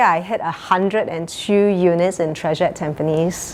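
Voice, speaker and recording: Against noticeable background noise, a woman speaks at a moderate pace with ordinary pitch variation. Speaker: real estate agent. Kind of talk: interview. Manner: high energy.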